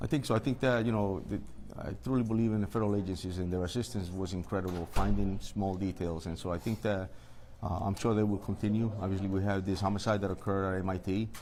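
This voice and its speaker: Talking at a very fast pace, a man uses a fairly low, dark and mellow voice with ordinary pitch variation. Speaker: police chief. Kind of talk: press interview. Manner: halting.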